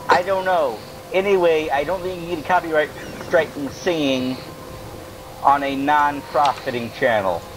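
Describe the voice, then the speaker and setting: A man with a fairly high voice and ordinary pitch variation talks at a moderate pace with long, frequent pauses, music playing in the background. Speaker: gaming video co-host. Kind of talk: casual gameplay commentary. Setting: online voice chat.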